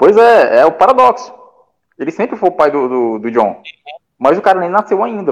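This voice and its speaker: Speaking at a high pitch, a man makes long, frequent pauses, with very wide pitch swings and big swings in loudness. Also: moderate pace. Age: 30s. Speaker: pop culture website contributor. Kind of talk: casual chat. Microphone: bad connection.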